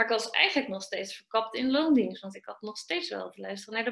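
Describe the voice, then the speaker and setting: A woman's plain, everyday voice, fairly high-pitched, with lively intonation and a fairly quick pace. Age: 30s. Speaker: business coach for trainers and coaches. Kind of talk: interview.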